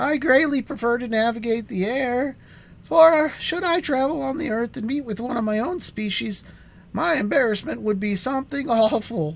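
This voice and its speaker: A squeaky, put-on character voice moves at a moderate pace with lively intonation. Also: man, extremely high pitch for a man. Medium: read story. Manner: melancholy, self-pitying.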